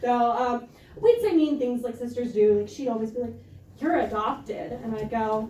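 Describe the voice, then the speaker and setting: A woman with an American accent speaks at a high pitch and moderate pace, with fairly even intonation. Audible room echo and noticeable background noise are present. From small-town US. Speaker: stand-up comedian. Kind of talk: stand-up. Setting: stage with audience.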